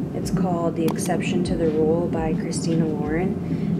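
A woman talks at a fairly slow pace while loud background noise plays. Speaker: expectant mother vlogger. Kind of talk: casual vlog chat. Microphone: phone near.

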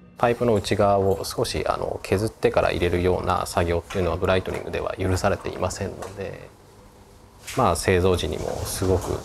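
A man's fairly quick speech over noticeable background noise. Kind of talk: interview answer. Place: workshop.

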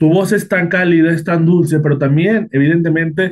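A man's voice over light background noise. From Mexico. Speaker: interviewer. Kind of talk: interview. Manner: halting, with many repetitions. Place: home room. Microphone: video call.

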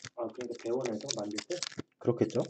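Noticeable noise carries on behind the voice. The words come out at a very fast speed. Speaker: trading card seller and streamer; trading card seller, streamer. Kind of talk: casual card break livestream commentary. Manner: casual, muttering to self. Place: home room. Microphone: webcam.

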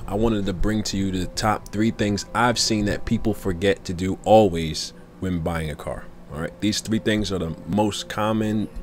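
Amid light background noise, a man with vocal fry speaks at a moderate pace and fairly low pitch with ordinary pitch variation. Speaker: car sales tips vlogger. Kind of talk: casual tips talk to camera.

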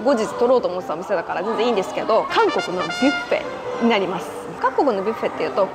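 With clear music in the background, a woman talks at a very fast pace. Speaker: travel vlogger. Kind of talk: casual vlog chat. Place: hall. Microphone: lapel.

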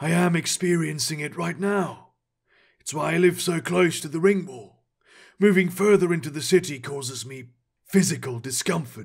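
A raspy, high-pitched put-on character voice from a man. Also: moderate pace. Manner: wry, knowing, enigmatic.

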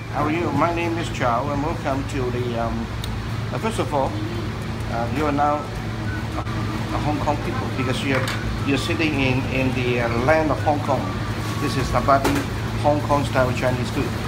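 Over loud background noise, a man talks at a moderate pace, stopping often for long pauses. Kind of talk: interview answer. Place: cafe. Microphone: phone near.

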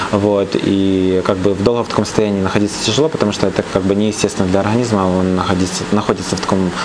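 Through noticeable background noise, a man with a fairly low pitch speaks at a very fast pace, with very even loudness and fairly even intonation. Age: 20s. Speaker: fitness trainer and physique competitor; fitness trainer. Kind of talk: casual interview. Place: hall. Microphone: phone near.

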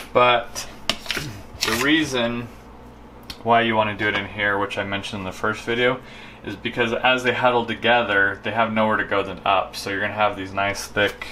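With a plain, everyday voice, a man talks at a moderate pace and a fairly low pitch over light background noise. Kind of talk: casual cooking tutorial chat. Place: kitchen.

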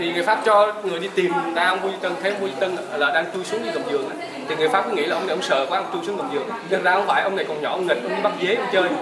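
Amid crowd noise in the background, a man speaks very fast at a high pitch with ordinary pitch variation. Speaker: tour guide. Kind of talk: guided tour narration about history. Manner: conversational, explanatory, storytelling. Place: hall. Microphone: camera far.

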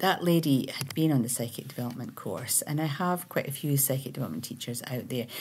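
A woman speaks in a very deep, low voice at a fairly quick pace. Light background noise sits behind her. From Scotland. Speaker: spiritual teacher and meditation creator; meditation teacher. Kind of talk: casual monologue. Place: home room. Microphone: webcam.

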